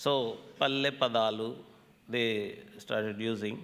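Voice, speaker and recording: A man with a bright, sharp tone speaks at a very slow pace. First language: Telugu. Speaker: scholar, folklore lecturer. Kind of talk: lecture.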